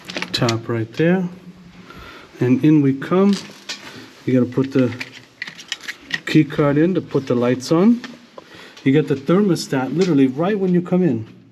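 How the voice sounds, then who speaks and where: Over noticeable background noise, a man with a fairly high pitch talks at a moderate pace, his intonation lively and broken by long, frequent pauses. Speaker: travel vlogger. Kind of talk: hotel room tour vlog. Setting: hotel hallway and room. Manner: casual, chatty.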